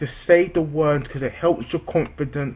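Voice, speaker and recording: A man's fairly high-pitched, somewhat breathy voice with ordinary pitch variation. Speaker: vlogger who stammers. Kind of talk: personal vlog talk. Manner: halting, with repetitions; slow, deliberate.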